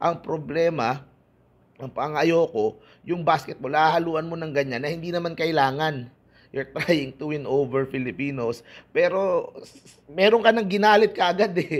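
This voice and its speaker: Animated man's voice, fairly high pitched with ordinary pitch variation, at a moderate pace. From Philippines. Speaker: basketball YouTuber. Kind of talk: casual vlog commentary. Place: home room. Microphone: earbuds.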